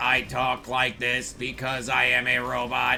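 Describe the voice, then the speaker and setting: A raspy put-on character voice from a man at a fairly slow pace, with clear background noise. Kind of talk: monotone, robotic.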